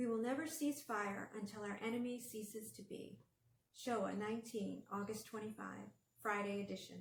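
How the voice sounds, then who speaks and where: Intonation stays fairly even throughout. The delivery comes at a moderate pace in an American accent. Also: woman, fairly high pitch for a woman. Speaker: author. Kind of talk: casual introduction then read story.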